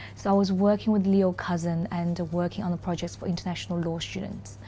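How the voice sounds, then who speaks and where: In a Chinese accent, a woman speaks at a fairly quick pace with a fairly low pitch. Her tone is dark, mellow and somewhat breathy, and her intonation fairly even. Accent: Mandarin Chinese accent in English. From China. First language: Mandarin. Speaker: corporate lawyer. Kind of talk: interview. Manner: hesitant, many fillers.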